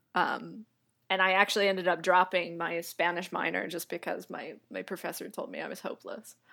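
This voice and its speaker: A woman's bright, sharp voice at medium pitch, with an American accent, vocal fry and fairly even intonation. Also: fairly quick pace. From US South, Atlanta, Georgia. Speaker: language instructor and indie iOS developer. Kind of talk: casual interview. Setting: remote call.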